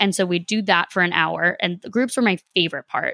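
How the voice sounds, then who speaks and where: A plain, everyday voice in an American accent with ordinary pitch variation, dry and close with no echo, in a very clean recording with a silent background. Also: woman. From Boston, Massachusetts. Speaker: podcast host. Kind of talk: interview.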